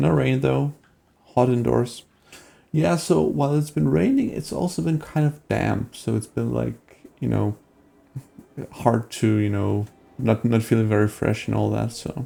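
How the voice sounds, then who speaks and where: A man speaks at a fairly slow pace with long, frequent pauses. Music plays in the background. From Denmark. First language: Danish. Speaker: gaming streamer. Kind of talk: live stream gameplay commentary and chat with viewers. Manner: casual, with many fillers and hesitations.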